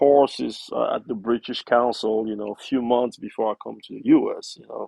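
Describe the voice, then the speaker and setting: A man with a Cameroonian accent, at a moderate pace and with hardly any pauses. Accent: Cameroonian francophone English. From Cameroon, Yaounde. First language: French. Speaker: investment professional. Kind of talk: interview.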